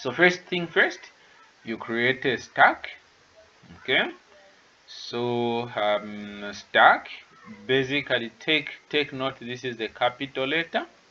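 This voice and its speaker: Over noticeable background noise, a man at medium pitch speaks at a very slow pace with ordinary pitch variation and long, frequent pauses. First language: not English. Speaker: tutor. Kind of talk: online lecture. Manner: hesitant, many fillers.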